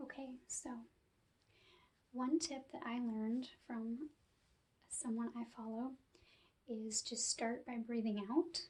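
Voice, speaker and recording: A soft-spoken woman with a high pitch talks in a calm tone at a very slow pace. She leaves long, frequent pauses. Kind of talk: guided relaxation ASMR. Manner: soft-spoken, calm.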